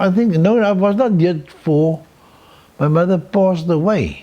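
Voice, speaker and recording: A man with a high pitch talks at a fairly slow pace with ordinary pitch variation. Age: 80s+. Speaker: painter. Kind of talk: interview. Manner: halting, repetitive.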